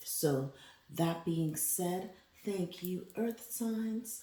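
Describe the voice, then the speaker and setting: Moving at a very slow pace, a woman speaks in a dark, mellow, somewhat breathy voice with ordinary pitch variation. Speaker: tarot reader. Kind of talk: tarot reading monologue. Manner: casual, animated.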